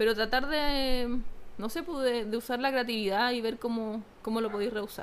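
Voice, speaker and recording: At a moderate pace, a woman talks with a fairly high pitch and fairly even intonation. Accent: Chilean. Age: 30s. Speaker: teacher and fashion content creator. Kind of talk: casual chat.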